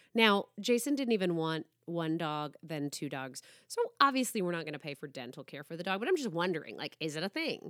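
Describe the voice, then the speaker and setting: An animated woman's voice, fairly low in pitch, with very wide pitch swings, big swings in loudness, a fairly quick pace, and a dry, close sound with no echo on a very clean recording with a silent background. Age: 30s. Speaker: podcast host. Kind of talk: casual chat.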